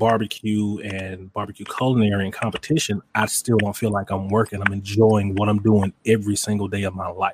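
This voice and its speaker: A man with a Mississippi accent speaks fairly quickly in a flat monotone at fairly low pitch, the sound dry and close with no echo. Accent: Southern US, Mississippi. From Mississippi, US South. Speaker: barbecue pitmaster and content creator. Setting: live video stream. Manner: confident, playful.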